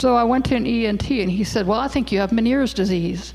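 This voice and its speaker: Her intonation is lively, and her pitch sits at a medium level. This woman's voice carries vocal fry. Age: 60s. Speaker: hearing loss advocate speaker. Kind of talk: presentation talk. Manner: casual, conversational.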